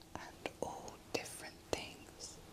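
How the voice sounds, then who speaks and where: Someone is whispering at a very slow pace. Noticeable background noise runs underneath. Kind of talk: whispered ASMR sleep story, Christmas storytime. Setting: close-mic ASMR recording, best with headphones. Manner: whispered, slow, calming.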